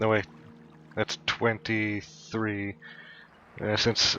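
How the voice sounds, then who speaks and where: Very slow, monotone, flat speech from a man with a fairly low pitch. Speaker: gaming youtuber. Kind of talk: let's play commentary. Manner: halting, many fillers.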